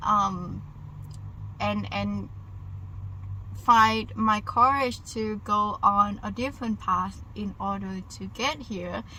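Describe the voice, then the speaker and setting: A woman with a Vietnamese accent, very slow in pace, with long, frequent pauses. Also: big swings in loudness. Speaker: vlogger. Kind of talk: casual vlog monologue. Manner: halting.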